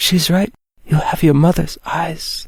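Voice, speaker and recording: A shaky put-on character voice at middle pitch moves along at a fairly slow pace. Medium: audio drama. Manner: soft, emotional.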